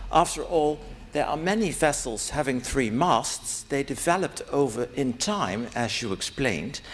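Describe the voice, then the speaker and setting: With a Dutch accent, a man talks at a moderate pace, his fairly high pitch carried by lively intonation. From Netherlands. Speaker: academic conference participant. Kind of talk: conference Q&A question.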